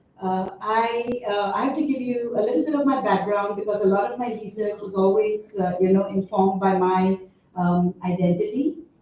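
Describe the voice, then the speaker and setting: A woman's medium-pitched voice at a moderate pace, with ordinary pitch variation and hardly any pauses, plus noticeable background noise and audible room echo. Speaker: university researcher. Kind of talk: conference presentation. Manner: halting, many fillers.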